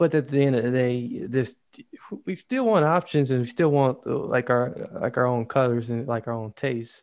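A soft-spoken man at medium pitch and moderate pace, ordinary pitch variation, quiet background. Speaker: co-host. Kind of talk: casual chat. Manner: soft-spoken away from the mic.

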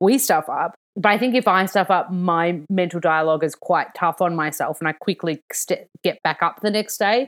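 A woman at medium pitch with an Australian accent, moderate pace, ordinary pitch variation, hardly any pauses and very even loudness, in a very clean recording with a silent background. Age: 30s. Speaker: nutritionist and author. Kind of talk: casual chat.

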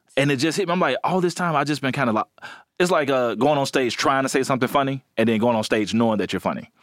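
Talking at a very fast pace in an Alabama accent, a man with a medium pitch sounds animated, with lively intonation and very even loudness, on a very clean recording with a silent background. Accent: US Southern, Alabama. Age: 30s. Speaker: comedian. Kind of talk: casual chat.

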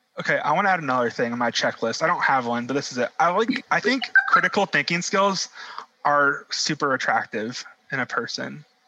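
With music in the background, a man speaks fairly quickly at a fairly high pitch, his voice swinging very widely in pitch. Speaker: podcast co-host. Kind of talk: casual chat.

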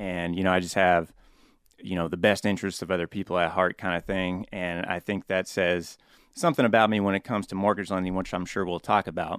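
A fairly quick, monotone, flat delivery with a Midwestern US accent, very cleanly recorded against a silent background with a dry, close sound and no echo. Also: man, very deep, low pitch for a man. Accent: US Midwest. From Topeka, Kansas. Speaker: mortgage loan officer. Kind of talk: casual interview. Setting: studio.

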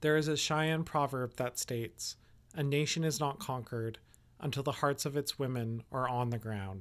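An ordinary speaking voice with ordinary pitch variation comes at a moderate pace on a very clean recording with a silent background. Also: man, fairly high pitch for a man. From Canada, Yellowknife. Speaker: podcast host. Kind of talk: scripted narration.

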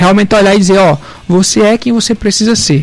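Over noticeable background noise, a man talks very fast in a high-pitched voice. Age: 20s. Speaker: young entrepreneur and law student. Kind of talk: radio interview.

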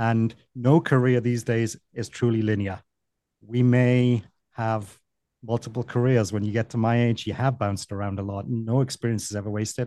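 In a Welsh accent, a man speaks at a moderate pace and medium pitch with a dark, mellow tone and flat monotone intonation, the sound dry and close with no echo and the background quiet. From Wales. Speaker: vacation rental business consultant. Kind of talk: casual interview.

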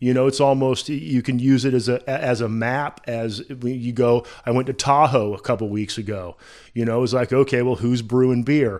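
This man has an ordinary speaking voice at medium pitch, with fairly even intonation and a moderate pace. The recording is very clean, with a silent background. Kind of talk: casual chat. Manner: relaxed, conversational.

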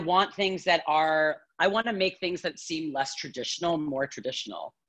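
Lively intonation from a woman, with music playing behind. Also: hardly any pauses. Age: 30s. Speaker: yoga teacher. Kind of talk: casual chat. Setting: video call. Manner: laughs a lot.

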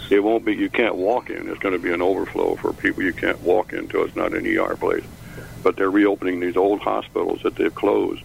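Noticeable noise sits behind a man who talks fairly quickly with an American accent. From Chicago.

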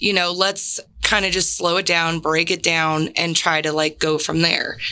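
A woman with an American accent speaks at a moderate pace in a fairly low pitch, her intonation fairly even, over noticeable background noise. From San Diego, California. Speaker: army veteran and veteran mentor. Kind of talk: interview.

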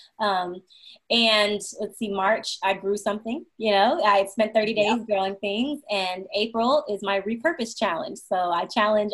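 A woman's fairly high, somewhat breathy voice at a moderate pace. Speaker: sustainability and vegan lifestyle coach. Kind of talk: interview. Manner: eloquent.

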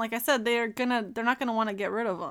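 On a very clean recording with a silent background, a woman speaks very fast at a fairly high pitch. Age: 20s. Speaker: podcast guest reviewing movies. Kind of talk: casual chat.

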